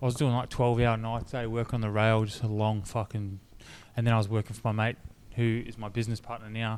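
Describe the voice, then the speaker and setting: Speaking at a very fast pace, a man keeps a medium pitch and monotone, flat intonation. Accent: strong Australian. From North Queensland, Australia. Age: 30s. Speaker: clothing brand founder, reality TV contestant. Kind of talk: casual podcast chat. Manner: casual, slangy with frequent fillers.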